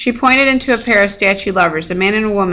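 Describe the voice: Read aloud plainly, the passage moves with ordinary pitch variation.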